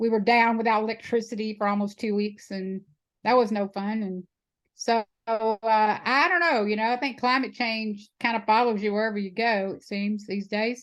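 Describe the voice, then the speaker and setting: Against a quiet background, a woman with a Texan accent and a fairly high pitch talks at a moderate pace with fairly even intonation. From Houston area, Texas. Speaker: animal sanctuary founder. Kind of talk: interview answer.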